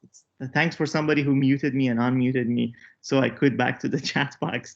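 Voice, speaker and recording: Here a man talks at a medium pitch and a moderate pace. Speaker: workshop instructor. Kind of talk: online tutorial workshop. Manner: halting.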